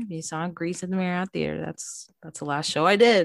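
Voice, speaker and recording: A woman's fairly low voice at a fairly quick pace in a very clean recording with a silent background. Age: 20s. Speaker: actor. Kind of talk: casual chat.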